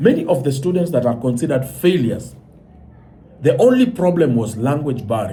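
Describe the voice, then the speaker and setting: This man has a fairly high, somewhat breathy voice and an animated tone. He talks at a fairly quick pace with lively intonation. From Kenya. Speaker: commentator. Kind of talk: monologue commentary.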